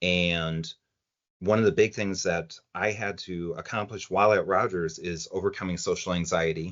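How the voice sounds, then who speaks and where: Speaking here is a man with a very deep, low pitch. His intonation stays fairly even. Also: moderate pace. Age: 50s. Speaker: former OCD patient. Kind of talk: podcast interview answer. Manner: casual, conversational.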